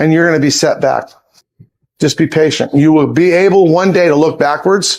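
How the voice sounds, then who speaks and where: A man talks in a fairly high voice with fairly even intonation. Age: 60s. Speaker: reptile zoo owner. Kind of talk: casual interview. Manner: halting, repetitive starts.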